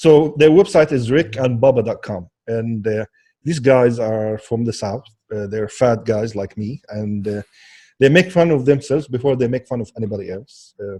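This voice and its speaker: Over a quiet background, a man with an Arabic accent speaks at a medium pitch and a moderate pace, his dark, mellow tone marked by ordinary pitch variation and big swings in loudness. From Kuwait, then decades in Alabama. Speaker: social media consultant. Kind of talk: casual chat.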